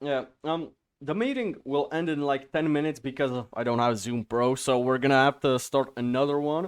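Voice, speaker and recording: This man has a non-native accent and a fairly high pitch. He talks at a moderate pace with ordinary pitch variation. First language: not English. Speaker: podcast host. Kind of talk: casual podcast interview. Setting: video call.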